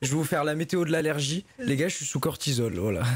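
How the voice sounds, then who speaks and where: A man puts on a hoarse character voice, fairly high in pitch, with lively intonation at a very fast pace. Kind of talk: casual, streaming chat.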